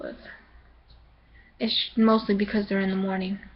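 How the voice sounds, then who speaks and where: A woman talks at a fairly quick pace in a somewhat breathy voice of medium pitch with fairly even intonation. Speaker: vlogger. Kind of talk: casual vlog monologue. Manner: hesitant, many fillers.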